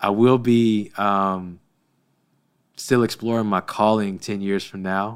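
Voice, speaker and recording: A man speaks at a very slow pace, with long, frequent pauses and flat, monotone intonation. The recording is very clean, with a silent background. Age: 30s. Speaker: gym owner and church volunteer leader. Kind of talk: podcast interview.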